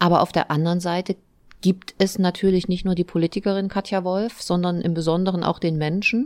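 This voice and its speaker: This is an ordinary speaking voice at a fairly quick pace, with fairly even intonation. The sound is dry and close with no echo, on a very clean recording with a silent background. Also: woman, medium pitch for a woman. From Thuringia, eastern Germany. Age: 40s. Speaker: mayor and politician. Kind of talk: interview.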